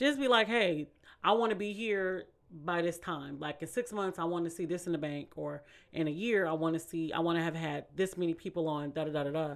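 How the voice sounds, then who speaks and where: A woman with an American accent speaks in a plain, everyday voice, fairly low in pitch, at a fairly quick pace with ordinary pitch variation. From Bay Area, California (Vallejo). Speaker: podcast host. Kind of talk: casual chat.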